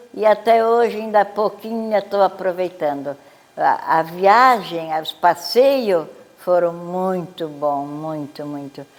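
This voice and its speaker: A woman takes a very slow pace, her intonation lively. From southern Brazil, Santa Catarina (Urussanga). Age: 90s. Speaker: elderly local resident. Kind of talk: life story interview.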